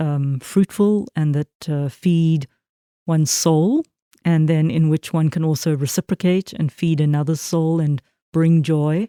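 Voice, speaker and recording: A woman with a South African accent speaks at a fairly slow pace in a very deep, low voice, her dark, mellow tone and fairly even intonation captured in a dry, close sound with no echo. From South Africa, Port Elizabeth. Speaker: minister. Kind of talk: interview. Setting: church. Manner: halting, many fillers.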